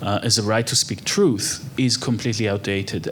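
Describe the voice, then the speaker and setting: A man talks in an Israeli accent at a moderate pace. Noticeable background noise runs through the clip. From Israel (Haifa). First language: Hebrew. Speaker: architect and human rights researcher. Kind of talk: on-stage interview.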